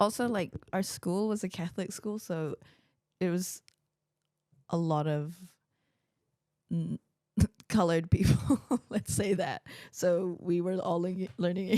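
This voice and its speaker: A woman of medium pitch speaks at a moderate pace with ordinary pitch variation and long, frequent pauses. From New Zealand. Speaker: podcast host. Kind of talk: casual chat.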